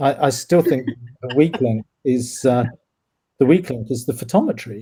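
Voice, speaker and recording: Somewhat breathy, a man speaks with a dark, mellow tone at a medium pitch. His pace is moderate and his pitch variation ordinary. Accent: British. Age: 60s. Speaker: cosmologist. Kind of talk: casual chat. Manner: halting, many fillers and repeats.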